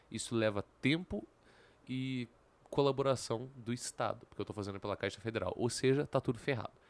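Very fast speech from a man with ordinary pitch variation, in a very clean recording with a silent background and a dry, close sound with no echo. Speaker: youtuber. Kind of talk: casual vlog monologue.

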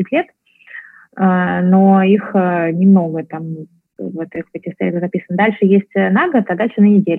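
Very slowly, a woman speaks at a medium pitch. Her intonation stays fairly even. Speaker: entrepreneur, startup founder. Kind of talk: interview.

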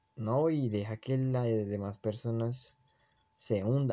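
A man's medium pitch with ordinary pitch variation, an unremarkable speaking voice. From Colombia. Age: 20s. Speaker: podcast host. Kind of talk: casual monologue.

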